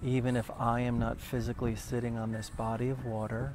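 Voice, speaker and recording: With an American accent and a medium pitch, a man talks at a moderate pace in a flat monotone, with audible room echo. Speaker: meditation teacher. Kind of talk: guided meditation. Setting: live video stream. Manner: soft-spoken.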